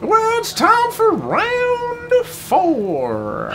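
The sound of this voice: Someone performs a put-on character voice while clear background noise runs underneath.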